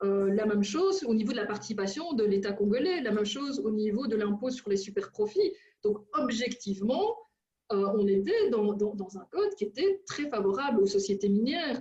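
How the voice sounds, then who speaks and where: A woman's fairly high-pitched voice with ordinary pitch variation at a moderate pace. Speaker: researcher and seminar speaker. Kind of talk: seminar Q&A answer. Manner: hesitant, many fillers.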